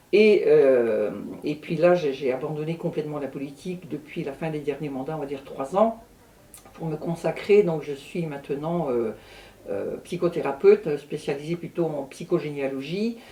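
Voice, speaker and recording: Amid noticeable background noise, a woman with a very deep, low voice speaks at a moderate pace, with ordinary pitch variation and big swings in loudness. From Brittany, France. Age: 60s. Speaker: astrologer and druidess. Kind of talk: interview.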